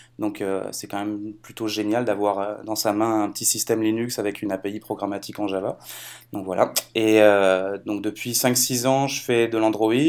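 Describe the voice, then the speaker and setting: The recording is very clean, with a silent background. The speech moves at a moderate pace in a monotone, flat intonation. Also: man, fairly low pitch for a man. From France. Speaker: software developer. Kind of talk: casual technical chat.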